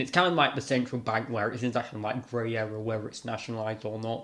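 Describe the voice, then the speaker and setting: Speaking at a medium pitch, a man talks with a British accent. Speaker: YouTuber. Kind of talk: reading aloud with commentary. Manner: halting, many self-corrections; casual, rambling.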